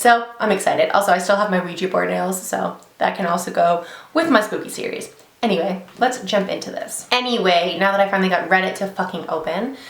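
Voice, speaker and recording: A woman at medium pitch and a very fast pace, with ordinary pitch variation, audible room echo and noticeable background noise. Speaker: beauty YouTuber reading stories. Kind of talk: casual vlog chat and story reading. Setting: home office, sitting in a desk chair.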